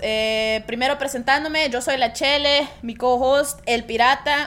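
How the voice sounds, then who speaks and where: A high-pitched woman's voice, with ordinary pitch variation and a fairly slow pace, amid noticeable background noise. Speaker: podcast co-host. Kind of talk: casual chat.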